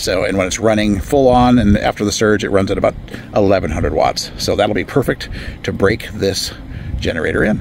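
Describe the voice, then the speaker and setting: A man with a fairly low pitch and ordinary pitch variation talks fairly quickly while noticeable background noise is audible. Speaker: product reviewer. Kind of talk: product demo. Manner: halting.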